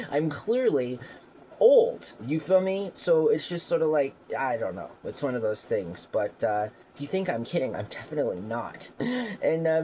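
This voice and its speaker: A man speaks at a moderate pace, his pitch swinging very widely. Noticeable background noise runs underneath. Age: middle-aged. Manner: casual, rambling, frequent fillers.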